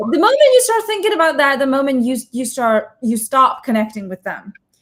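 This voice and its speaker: Speaking at a fairly quick pace, a woman uses a high voice with very wide pitch swings. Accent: slight Chinese. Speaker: interviewer and comedian. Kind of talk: casual chat.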